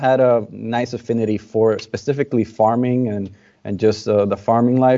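A man speaks with a Spanish accent at a medium pitch. His intonation is fairly even. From Dominican Republic. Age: 20s. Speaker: cigar brand ambassador. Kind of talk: casual interview.

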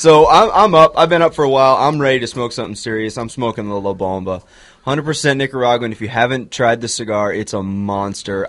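A man speaks at medium pitch with a normal speaking voice. His pace is fairly quick, with ordinary pitch variation. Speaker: radio co-host. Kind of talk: casual chat. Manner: jokey.

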